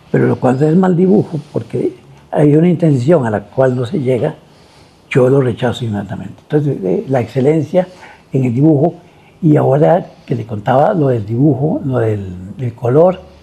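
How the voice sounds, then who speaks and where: This voice has a dark, mellow tone and is somewhat breathy. Its intonation is lively. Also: man, medium pitch for a man, moderate pace. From Costa Rica. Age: 80s+. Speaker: visual artist. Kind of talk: interview. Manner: halting.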